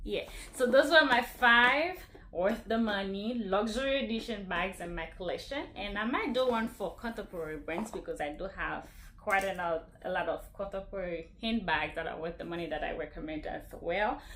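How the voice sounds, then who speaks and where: Over noticeable background noise and audible room echo, a woman speaks at a moderate pace and medium pitch with lively intonation. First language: not English (English is third language). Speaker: fashion YouTuber. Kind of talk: casual product review vlog.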